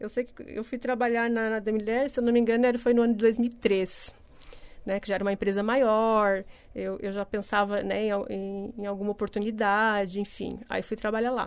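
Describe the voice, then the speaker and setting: In a very clean recording with a silent background, a woman speaks at a moderate pace in a fairly high, monotone, flat voice. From Paraná, Brazil, then Santa Catarina from age 12. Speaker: company executive director. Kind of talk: radio interview.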